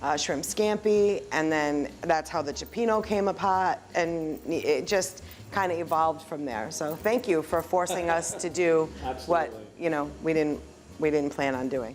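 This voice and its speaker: A normal speaking voice at a fairly slow pace with ordinary pitch variation. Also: woman, fairly low pitch for a woman. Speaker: restaurant owner. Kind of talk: interview answer.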